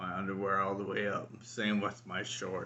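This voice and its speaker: A man mumbles in a fairly low-pitched voice. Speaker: vlogger with ALS. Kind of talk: personal video diary. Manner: slow; mumbling.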